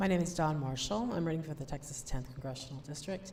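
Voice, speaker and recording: Lively intonation marks this speech in an American accent, with audible room echo around it. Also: woman. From US upper Midwest, Madison, Wisconsin. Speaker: political candidate and college professor. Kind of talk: candidate speech at public forum. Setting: public forum with audience. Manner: conversational, many fillers.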